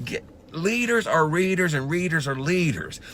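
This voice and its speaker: An animated man with a Southern US accent at a moderate pace. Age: 60s. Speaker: motivational speaker. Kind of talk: motivational talk.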